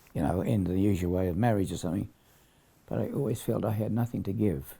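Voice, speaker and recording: Speaking at a fairly quick pace, a man with a fairly low pitch and a dark, mellow tone uses lively intonation and vocal fry. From Perth, Australia. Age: 90s. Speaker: war veteran. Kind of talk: casual chat. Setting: at home. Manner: halting.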